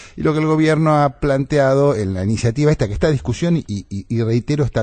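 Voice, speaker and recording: A man with a dark, mellow tone speaks at a very fast pace with lively intonation. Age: 60s. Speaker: national deputy and farmer. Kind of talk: radio panel debate.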